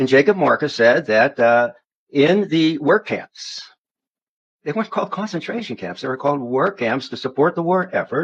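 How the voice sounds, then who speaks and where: A man with an American accent talks at a moderate pace in a fairly high voice, his pitch swinging very widely. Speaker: religious commentator. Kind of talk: interview storytelling.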